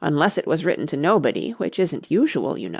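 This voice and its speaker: Raspy and at a fairly quick pace, a put-on character voice comes through on a very clean recording with a silent background. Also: man. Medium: read story. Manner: grave, pompous.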